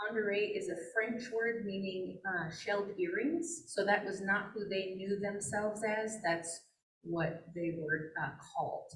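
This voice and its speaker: Somewhat breathy, a woman with an American accent speaks at a fairly slow pace with ordinary pitch variation, and audible room echo surrounds her voice. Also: medium pitch for a woman. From Flathead Indian Reservation, Montana. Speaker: wildlife biologist. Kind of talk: presentation. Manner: casual with frequent fillers.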